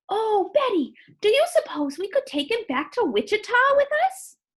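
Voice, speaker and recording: In a squeaky, put-on character voice, a woman talks at a moderate pace with an extremely high pitch and very wide pitch swings. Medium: read story. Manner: excitable, squealing.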